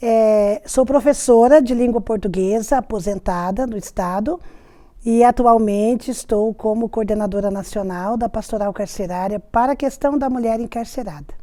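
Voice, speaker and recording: On a very clean recording with a silent background, a woman with a dark, mellow tone and fairly high pitch speaks at a moderate pace with ordinary pitch variation. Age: 60s. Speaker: retired teacher, prison ministry coordinator. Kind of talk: interview testimony.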